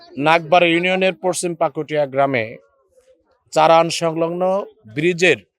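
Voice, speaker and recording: Pitched high, this man's voice is heard. He keeps his intonation fairly even. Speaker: local political party representative. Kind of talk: speech at a rally. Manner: formal.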